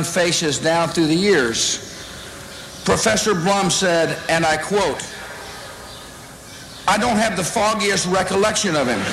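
With a Texan accent, the speaker moves at a fairly slow pace with long, frequent pauses and ordinary pitch variation, amid audible room echo and light background noise. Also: man. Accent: Texan drawl. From Texas. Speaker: politician. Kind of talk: commencement speech. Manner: humorous, self-deprecating. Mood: humorous, self-deprecating. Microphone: podium.

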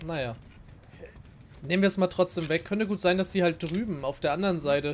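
A high pitch marks this man's voice. The pitch moves in an ordinary way. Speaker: gaming youtuber. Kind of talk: let's play commentary. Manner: casual, chatty.

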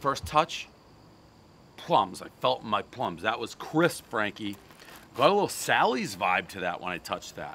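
A man speaks with very wide swings in pitch and big shifts in loudness over light background noise. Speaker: food reviewer. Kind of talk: casual review commentary. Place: street.

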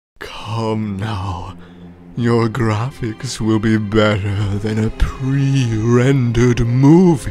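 Clear music plays behind a man using a put-on character voice at medium pitch. He speaks at a very slow pace. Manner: smug, purring, menacing.

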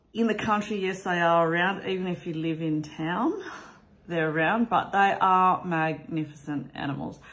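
Fairly slow and fairly low-pitched, a woman speaks with an Australian accent and ordinary pitch variation. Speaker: vlogger; family vlogger. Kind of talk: casual vlog talk. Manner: casual, with frequent fillers. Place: home room. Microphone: phone near.

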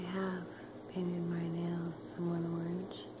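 Loud background noise fills the recording. The speaking pace is moderate. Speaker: spiritual energy vlogger. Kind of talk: casual vlog chat. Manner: soft, close ASMR whisper. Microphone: phone near.

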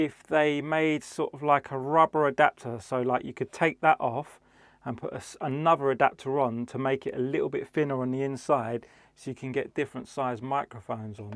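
Against a quiet background, a man speaks at a moderate pace with ordinary pitch variation, the sound dry with no echo. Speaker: DJ product reviewer. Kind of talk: product review vlog. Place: studio. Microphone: lapel.

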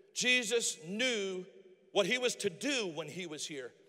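A raised, projected voice comes through with a bright, sharp tone. The intonation is lively over a quiet background. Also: man. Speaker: pastor. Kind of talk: sermon; rousing sermon climax, urging the congregation to their calling. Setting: church. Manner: fervent and emphatic, building momentum with call-and-response; folksy and humorous, self-deprecating asides. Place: church. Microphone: handheld.

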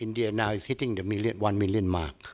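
This man talks with a Thai accent. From Thailand. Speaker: tourism agency head. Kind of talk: lecture. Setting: stage with audience. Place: hall. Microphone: podium.

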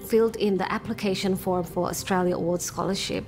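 Clear music plays behind a woman speaking at medium pitch. Her intonation stays fairly even. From Sydney, Australia (until 14), Indonesian family. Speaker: university lecturer, English teacher. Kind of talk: interview answer. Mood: reflective, earnest. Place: home room. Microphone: lapel.

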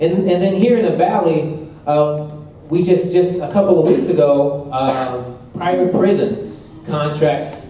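A man speaks at a fairly slow pace with ordinary pitch variation, his voice carrying audible room echo over light background noise. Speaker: event host or moderator. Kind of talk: opening remarks to an audience. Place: hall.

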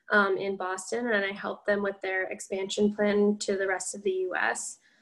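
A woman speaks against a quiet background. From US Midwest (Illinois). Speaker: MBA student; panelist. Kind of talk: panel discussion. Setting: video call webinar. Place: home room. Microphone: webcam.

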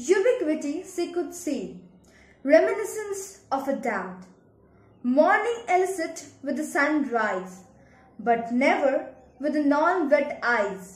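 In a room with audible echo, a woman talks very slowly at a high pitch, her voice making very wide pitch swings. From India. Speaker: poet. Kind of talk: poetry reading. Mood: wistful, sad. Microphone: phone near.

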